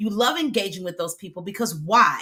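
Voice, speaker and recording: A woman's animated, medium-pitched voice with lively intonation and an American accent, music playing in the background. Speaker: video content coach. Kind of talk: live stream talk to audience.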